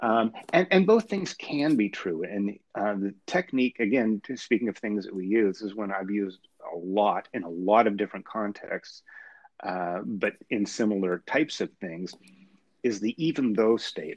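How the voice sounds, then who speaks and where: At a moderate pace, a man talks in an unremarkable speaking voice, fairly low in pitch with ordinary pitch variation. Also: quiet background. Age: 50s. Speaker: author, wheelchair user. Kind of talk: casual spiritual discussion. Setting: phone or remote line.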